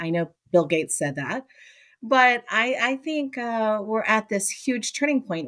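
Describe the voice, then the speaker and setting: With a plain, everyday voice and an American accent, a woman of fairly high pitch speaks at a moderate pace with lively intonation, in a very clean, dry, close recording with a silent background and no echo. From Miami, Florida. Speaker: college professor and keynote speaker. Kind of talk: interview.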